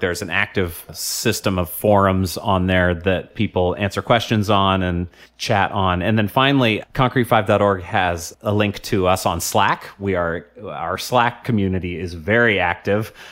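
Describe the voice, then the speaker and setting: Speaking with a US West Coast accent, a man keeps his intonation fairly even. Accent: US West Coast American. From US Pacific Northwest, Portland, Oregon. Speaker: software founder and CTO. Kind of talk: interview. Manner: frequent laughter and filler words.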